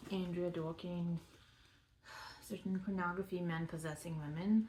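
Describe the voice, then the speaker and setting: Somewhat breathy, a woman talks at a fairly low pitch and moderate pace. Her tone is dark and mellow, her intonation monotone and flat. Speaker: vlogger. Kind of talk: casual monologue. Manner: halting.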